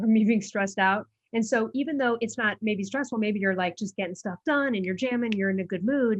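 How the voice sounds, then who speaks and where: The woman's voice is somewhat breathy and fairly high in pitch, at a fairly quick pace. Her intonation is fairly even, and the sound is dry and close with no echo. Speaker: podcast host. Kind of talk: podcast interview chat. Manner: fast.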